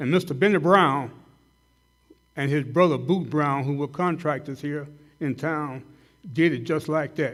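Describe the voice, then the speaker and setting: In a Southern US accent, a man talks with a fairly high pitch. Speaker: dentist speaking at a hall of fame banquet. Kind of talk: tribute speech. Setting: banquet hall with audience. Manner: loud; halting, many fillers.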